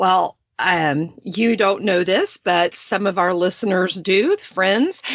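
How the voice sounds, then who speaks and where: A woman with a Texas accent, very slow, with fairly even intonation and very even loudness. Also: medium pitch for a woman. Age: 40s. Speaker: podcast host. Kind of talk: casual chat.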